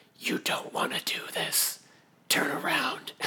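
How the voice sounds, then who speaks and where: In a whispered, put-on character voice, the speaker goes at a fairly slow pace. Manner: whispering.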